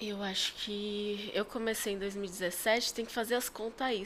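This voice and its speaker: This woman has a medium pitch and speaks at a fairly slow pace. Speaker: costume character performer and event entrepreneur. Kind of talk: casual chat. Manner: animated.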